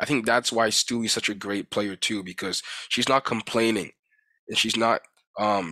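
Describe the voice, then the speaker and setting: A man's bright, sharp voice at medium pitch, with fairly even intonation, comes through a very clean recording with a silent background and a dry, close sound with no echo. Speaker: sports commentator. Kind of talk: sports commentary vlog. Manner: fast.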